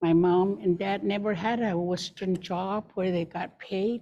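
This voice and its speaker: A woman talks at a fairly slow pace with a dark, mellow tone. Her pitch sits in the medium range, and her intonation stays fairly even. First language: Gwich'in. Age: 70s. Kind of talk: panel introduction. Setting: live webinar.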